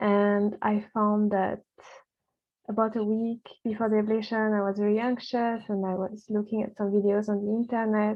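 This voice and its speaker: The speaker has a non-native accent. The intonation is monotone and flat. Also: woman. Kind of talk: personal experience talk to camera.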